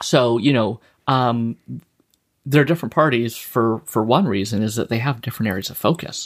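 A plain, everyday voice from a man with a Canadian accent, medium pitch, ordinary pitch variation and moderate pace. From Saskatchewan, Canada. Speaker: political campaign manager. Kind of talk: casual interview chat.

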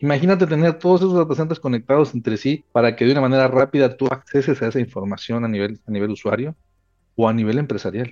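Very fast and medium in pitch, this man's voice pushes ahead quickly. His pitch swings very widely. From Mexico. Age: 40s. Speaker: telecom and data center executive. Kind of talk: interview. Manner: halting, many fillers and repetitions.

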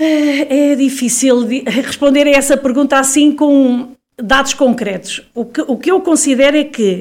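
A woman's high-pitched voice at a very slow pace. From Portugal, Viseu. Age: 50s. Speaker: local election candidate. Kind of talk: interview. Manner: halting.

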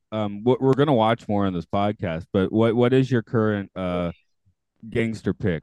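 A man with a normal speaking voice talks at a moderate pace, his fairly low pitch moving with ordinary variation. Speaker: podcast host. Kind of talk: casual chat.

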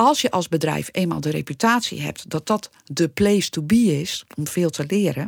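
With lively intonation and vocal fry, a woman talks at a moderate pace and fairly low pitch with hardly any pauses, in a dry, close sound with no echo. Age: 50s. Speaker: podcast co-host, former radio newsroom manager. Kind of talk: casual podcast discussion.

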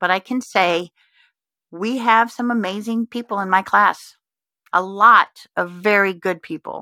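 In a very clean recording with a silent background and a dry, close sound with no echo, a woman with an American accent speaks fairly slowly at a medium pitch, her bright, sharp tone carried by fairly even intonation. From Texas and Indiana (Richmond, from age 12). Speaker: podcast host and life coach. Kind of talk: solo reflective monologue.

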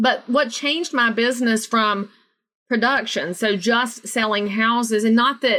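In a Southern US accent, a woman speaks at a moderate pace, her fairly high pitch held in fairly even intonation. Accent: Southern US, noticeable. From US South, North Carolina. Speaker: realtor and motivational speaker. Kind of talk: casual interview chat.

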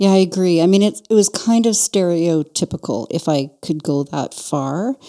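A woman with a Canadian accent has a fairly low voice with a dark, mellow tone, recorded with a dry, close sound and no echo. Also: lively intonation, moderate pace. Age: 60s. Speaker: podcast host and business owner. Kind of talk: casual conversation between friends.

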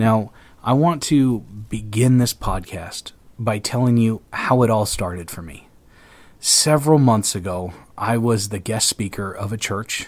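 In a very clean recording with a silent background, a man of medium pitch speaks fairly slowly, with ordinary pitch variation and big swings in loudness. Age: 30s. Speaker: pastor and podcast host. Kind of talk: solo podcast monologue on faith. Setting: office in front of a microphone. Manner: hesitant, with fillers and repetitions.

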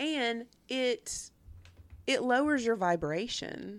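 Very wide pitch swings mark a woman's voice in a Tennessee accent. The recording is very clean, with a silent background. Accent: US Southern (Tennessee). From Nashville, Tennessee (Antioch). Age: 50s. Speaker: podcast co-host. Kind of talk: casual chat.

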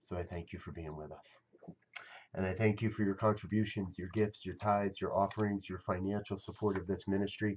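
A fairly quick voice with a monotone, flat intonation and big swings in loudness. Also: man, fairly low pitch for a man. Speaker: meditation leader. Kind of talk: guided meditation. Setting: online broadcast. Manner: soft-spoken, reassuring.

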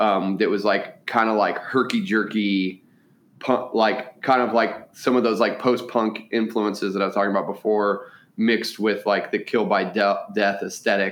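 A man speaks in a plain, everyday voice with a fairly low pitch. His pace is moderate, his intonation fairly even and his loudness very even. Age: 40s. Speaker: musician and restaurant owner. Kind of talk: casual interview chat.

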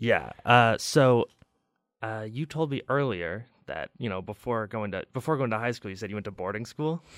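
An ordinary speaking voice with an American accent, at a moderate pace with ordinary pitch variation, in a very clean recording, silent background. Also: man, medium pitch for a man. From Chicago. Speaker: college radio host. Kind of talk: casual interview chat; radio announcement.

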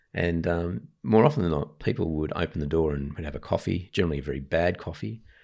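With an Australian accent, a man speaks at a fairly quick pace in a very deep, low pitch with vocal fry, in a very clean recording against a silent background. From Sydney, Australia (Ryde). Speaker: Baptist pastor. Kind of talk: interview conversation. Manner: hesitant, many ums.

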